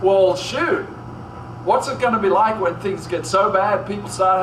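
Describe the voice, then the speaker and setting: Moderate pace, with audible room echo and noticeable background noise. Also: man. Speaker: pastor. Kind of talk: sermon.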